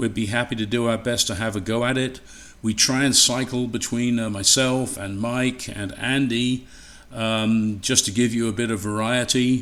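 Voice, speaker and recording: With an English accent, a man talks at a moderate pace and medium pitch in a monotone, flat intonation. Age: old. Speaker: radio equipment presenter. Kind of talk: webinar talk. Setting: home livestream by fireplace. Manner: casual, halting with fillers.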